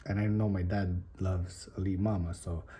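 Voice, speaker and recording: A man whispers in a somewhat breathy voice. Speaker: spearfishing vlogger. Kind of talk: casual vlog talk. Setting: at home. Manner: whispering.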